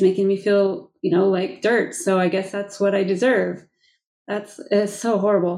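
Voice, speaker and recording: A woman speaks in a normal speaking voice. Her pace is moderate. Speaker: podcast host. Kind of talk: interview.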